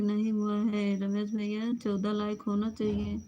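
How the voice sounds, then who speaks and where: At a medium pitch, a woman talks with a monotone, flat intonation. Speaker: live stream host. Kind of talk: live stream chat with viewers. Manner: casual, chatty.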